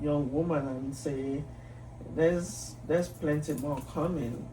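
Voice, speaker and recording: This woman's voice is very deep and low in pitch. Audible echo from the room surrounds her speech. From Nigeria. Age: 60s. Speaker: psychiatrist and physician. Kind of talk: interview conversation.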